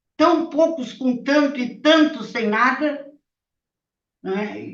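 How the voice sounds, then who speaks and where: Audible room echo surrounds a woman talking at a very slow pace with ordinary pitch variation. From Rio Grande do Sul, Brazil (Bagé). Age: 70s. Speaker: retired labour judge, former resistance activist. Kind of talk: testimony.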